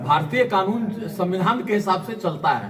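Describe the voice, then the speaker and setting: Noticeable background noise sits behind the recording. A man speaks with fairly even intonation. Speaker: social worker. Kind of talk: interview.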